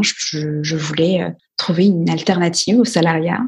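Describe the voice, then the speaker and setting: A woman's fairly low voice, a plain, everyday voice, moves with ordinary pitch variation. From Guadeloupe. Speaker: entrepreneur and investor. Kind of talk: podcast interview.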